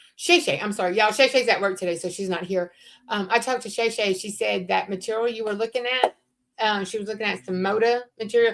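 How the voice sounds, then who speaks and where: Very fast and fairly high-pitched, a woman with a Southern accent speaks with ordinary pitch variation. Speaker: crafter co-hosting a craft livestream. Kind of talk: casual chat.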